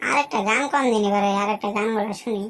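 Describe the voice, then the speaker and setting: In a cartoonish character voice, a female-sounding speaker with a medium pitch for a woman talks at a fairly quick pace. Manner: literal, repetitive.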